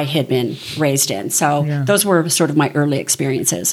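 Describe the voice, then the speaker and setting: A woman with an American accent and a very deep, low pitch. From Southern California. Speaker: small group leader. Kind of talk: interview.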